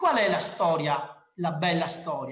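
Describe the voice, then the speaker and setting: A man's animated tone at a fairly slow pace. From Veneto, Ponte di Piave area. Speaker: marketing speaker. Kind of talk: conference talk. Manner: informal, animated.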